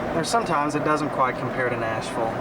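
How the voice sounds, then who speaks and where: A man speaks with a Southern US accent. There is noticeable background noise and audible room echo. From Tennessee. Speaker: amateur video maker. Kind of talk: home video tour narration. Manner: casual, rambling with hesitations.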